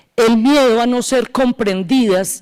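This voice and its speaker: In an Antioquian Colombian accent, a woman speaks with ordinary pitch variation. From Colombia, northeastern Antioquia. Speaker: law professor, transitional justice expert. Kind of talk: academic panel talk.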